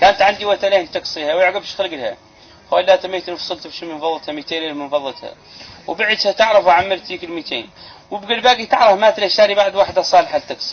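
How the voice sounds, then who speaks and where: Over noticeable background noise, a man with a Mauritanian accent speaks fairly quickly in a high voice, with ordinary pitch variation and big swings in loudness. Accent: Hassaniya Arabic. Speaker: Islamic preacher. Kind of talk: religious sermon.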